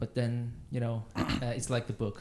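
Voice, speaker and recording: Speaking in a Persian accent, a man uses a dark, mellow tone at medium pitch, with monotone, flat intonation and a fairly slow pace. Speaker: musician, pianist. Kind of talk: casual chat. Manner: halting. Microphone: too far from the mic.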